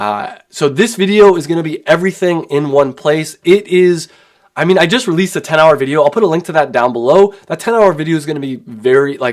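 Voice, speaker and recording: Talking at a fairly quick pace, a man uses lively intonation at a fairly high pitch. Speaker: online business course instructor. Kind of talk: livestream tutorial. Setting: live stream. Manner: fast.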